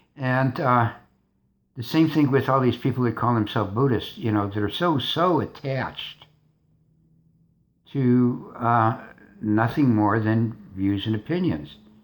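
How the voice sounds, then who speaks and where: At a fairly slow pace with long, frequent pauses, a man speaks with ordinary pitch variation in a very clean recording with a silent background. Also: medium pitch for a man. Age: 60s. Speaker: vlogger. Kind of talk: casual monologue. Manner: halting.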